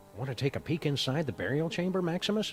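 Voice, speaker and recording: Over clear background noise, a man talks at a very fast pace in a put-on character voice with a fairly high pitch. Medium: video game. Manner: verbose, dry.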